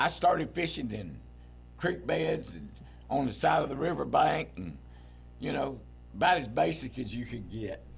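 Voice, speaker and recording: A man with a very deep, low pitch and vocal fry speaks at a moderate pace, with very wide pitch swings and big swings in loudness. Long, frequent pauses break up his speech, and audible room echo is present. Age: 70s. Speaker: veteran angler. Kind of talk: casual interview chat.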